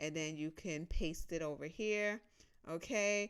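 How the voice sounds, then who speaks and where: A woman speaks in a plain, everyday voice with an American accent. Her pitch is fairly low and her intonation fairly even. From United States. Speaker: personal finance youtuber. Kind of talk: tutorial. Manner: casual, conversational.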